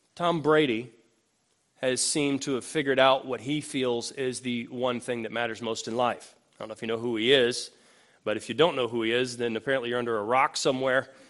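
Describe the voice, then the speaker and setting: Against a quiet background, a man speaks in an ordinary speaking voice at medium pitch, with fairly even intonation and a fairly quick pace. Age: 40s. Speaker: pastor. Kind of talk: sermon.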